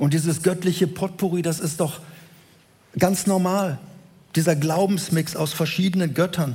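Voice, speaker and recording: With long, frequent pauses, a man speaks at a moderate pace in a high pitch and a flat, monotone intonation. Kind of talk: sermon. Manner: didactic, earnest, building to rhetorical questions and emphatic repetition; explanatory, measured pace, direct address to the congregation.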